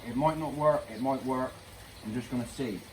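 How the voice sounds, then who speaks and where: Noticeable background noise sits under a man's voice. He keeps a moderate pace and fairly even intonation. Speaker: DIY pond keeper vlogger. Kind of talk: DIY vlog. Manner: casual, thinking aloud.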